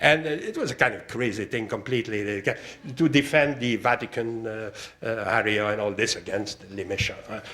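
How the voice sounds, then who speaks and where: A man with a Quebec accent, medium pitch, ordinary pitch variation and a fairly quick pace, over noticeable background noise. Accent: Québécois French accent in English. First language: French. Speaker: art historian. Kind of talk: lecture. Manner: halting, many fillers.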